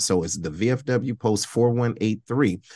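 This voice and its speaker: Against a quiet background, a man talks at a moderate pace with an ordinary speaking voice and ordinary pitch variation. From Detroit, Michigan. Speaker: veteran nonprofit director and podcast host. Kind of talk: casual interview.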